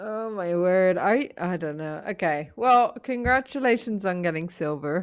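A woman talks at a fairly slow pace with hardly any pauses, at a medium pitch. Hers is a plain, everyday voice with lively intonation. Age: 30s. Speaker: podcast co-host. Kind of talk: casual chat.

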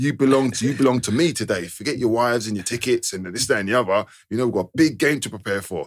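A man with a London accent talks at a very fast pace, with hardly any pauses. His pitch is medium, with ordinary variation. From East London. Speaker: podcast host, former footballer. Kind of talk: casual chat; scripted narration.

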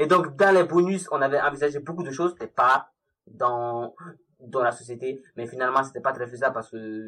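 This man's voice sits at a medium pitch and has a bright, sharp tone. He moves at a moderate pace, and his loudness swings widely. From Mali. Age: 20s. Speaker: freelance mobile developer. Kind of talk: casual interview.

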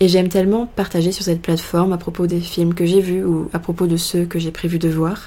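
In a dark, mellow tone, a woman speaks with a fairly low pitch and monotone, flat intonation. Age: 20s. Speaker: podcast host. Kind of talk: solo monologue.

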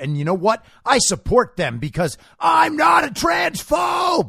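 A man's shouting in a put-on character voice, high-pitched and at a fairly slow pace. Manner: mocking.

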